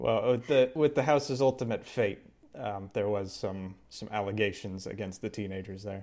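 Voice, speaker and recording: Loudness swings widely as a man speaks at a moderate pace in a plain, everyday voice. His pitch is fairly low with ordinary pitch variation. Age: 30s. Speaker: podcast co-host. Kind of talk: casual chat.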